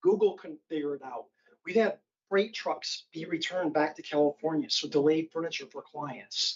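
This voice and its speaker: A man is speaking. His pace is moderate. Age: 60s. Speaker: business owner giving public comment. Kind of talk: public comment at council meeting. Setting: city council committee meeting.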